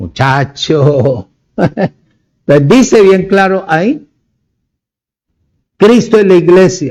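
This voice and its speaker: A man speaks at a high pitch with lively intonation and very even loudness. His pace is very slow, with long, frequent pauses. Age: 70s. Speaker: preacher. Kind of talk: sermon.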